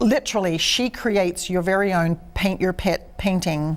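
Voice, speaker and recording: The speaker is a woman with an Australian accent. Her pitch sits in the medium range. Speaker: artist and studio owner. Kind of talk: interview. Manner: animated.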